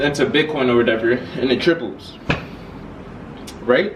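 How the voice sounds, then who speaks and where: Over noticeable background noise and audible room echo, a man talks at a moderate pace with medium pitch and ordinary pitch variation. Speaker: YouTuber. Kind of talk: casual vlog explainer. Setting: filmed with laptop camera. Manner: stutter; halting.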